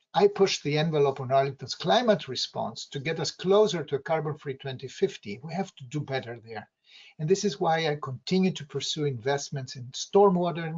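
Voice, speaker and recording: This man's voice is somewhat breathy and fairly high. He talks at a fairly quick pace. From outside the US. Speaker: local political candidate. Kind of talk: campaign speech.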